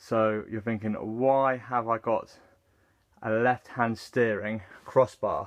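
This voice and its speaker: Speaking very slowly in an English accent, the man keeps a medium pitch and a monotone, flat intonation. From England. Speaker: car builder, channel owner. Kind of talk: DIY build video, casual narration. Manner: hesitant, many fillers.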